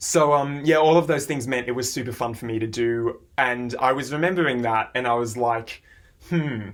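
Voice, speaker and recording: A man with an Australian accent at a medium pitch and moderate pace, with ordinary pitch variation. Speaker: music reaction YouTuber. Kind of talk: casual vlog monologue.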